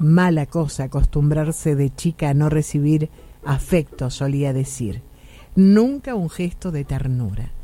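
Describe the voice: A woman talks at a fairly slow pace, her pitch low and her tone dark and mellow. Her intonation is lively.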